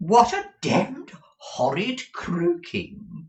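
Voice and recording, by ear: Using a put-on character voice, a man speaks at a high pitch and a very slow pace, with very wide pitch swings and a slightly mellow tone.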